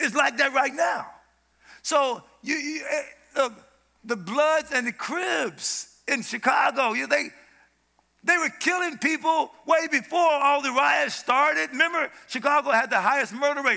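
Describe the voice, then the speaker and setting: Raising and projecting his voice, a man speaks at a fairly slow pace at an extremely high pitch, his tone bright, sharp and animated, with ordinary pitch variation. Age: old. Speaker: preacher. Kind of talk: sermon. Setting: church stage with audience.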